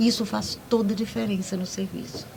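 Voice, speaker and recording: A woman with a medium-pitched voice talks as noticeable background noise fills the recording. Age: 60s. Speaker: public servant. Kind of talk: panel discussion.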